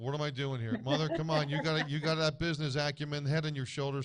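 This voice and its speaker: The speaker talks at a very fast pace in a New Jersey accent. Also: man. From New Jersey (East Brunswick). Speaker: guest. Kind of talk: casual chat. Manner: animated.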